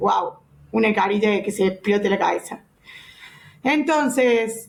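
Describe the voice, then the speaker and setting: A woman's fairly high voice, an ordinary speaking voice, at a fairly slow pace with very even loudness and ordinary pitch variation. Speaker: physiotherapy lecturer. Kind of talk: lecture.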